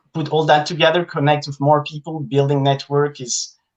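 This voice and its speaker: This man speaks with a French accent. His intonation is monotone and flat. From France. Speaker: content creator. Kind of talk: casual interview chat.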